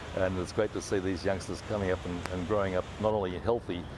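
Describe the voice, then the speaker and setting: Over noticeable background noise, a man with an Australian accent talks very fast in a very deep, low voice. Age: 60s. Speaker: former Olympic swimmer, aquatic centre director. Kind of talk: interview. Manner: hesitant, many fillers.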